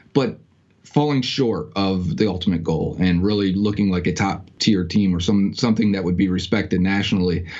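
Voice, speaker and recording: A man with an American accent and a very deep, low pitch, moderate pace, ordinary pitch variation, very even loudness and audible room echo. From Western New York. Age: 30s. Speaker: sports podcaster. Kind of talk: casual interview.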